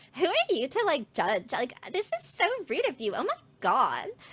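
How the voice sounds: A woman puts on a character voice, high-pitched with very wide pitch swings and a fairly bright tone. She keeps a moderate pace, and a slightly husky edge comes through.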